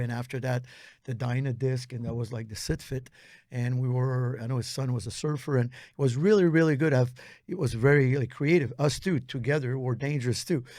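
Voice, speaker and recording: At a fairly quick pace, a man with a Quebec accent speaks at a medium pitch in a dark, mellow tone, captured in a very clean recording with a silent background. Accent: Québécois French-accented English. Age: 60s. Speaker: posturology trainer. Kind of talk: interview conversation. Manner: animated.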